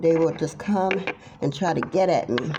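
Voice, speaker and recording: A woman speaks in a fairly low voice over noticeable background noise. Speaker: tarot reader. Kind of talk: casual monologue vlog.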